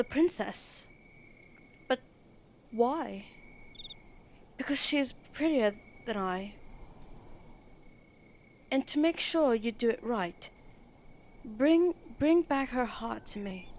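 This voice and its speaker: A woman speaks with a British accent at a high pitch and with lively intonation. Her pace is very slow, broken by long, frequent pauses. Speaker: ASMR roleplay performer. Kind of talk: bedtime story reading.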